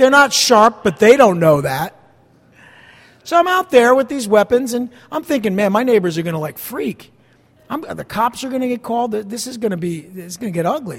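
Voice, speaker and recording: A man with a high voice talks at a moderate pace. His pitch swings very widely and his loudness rises and falls sharply. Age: 50s. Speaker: pastor. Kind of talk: sermon.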